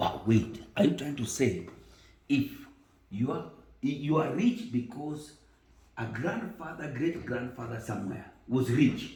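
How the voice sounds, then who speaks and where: A Kenyan accent, fairly slow pace, lively intonation, long, frequent pauses and audible room echo. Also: man, fairly high pitch for a man. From Kenya, Kisumu. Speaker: tv host. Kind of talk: interview. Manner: calm.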